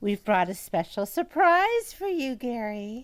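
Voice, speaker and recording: A female-sounding, put-on character voice is pitched high with very wide pitch swings. It moves at a fairly slow pace. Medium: audio drama. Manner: calm, sinister.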